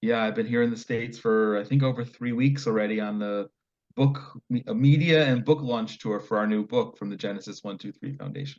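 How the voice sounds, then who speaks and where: Talking at a fairly quick pace, a man with an American accent has a normal speaking voice, a medium pitch, and ordinary pitch variation. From US. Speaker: nonprofit founder, author. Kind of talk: interview.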